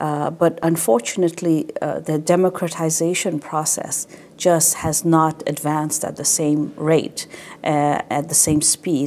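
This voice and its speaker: A woman with a Tibetan accent speaks at a fairly slow pace. Her pitch is very deep and low, with fairly even intonation. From Canada (Quebec, French-speaking). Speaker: Tibetan administration representative. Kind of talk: interview.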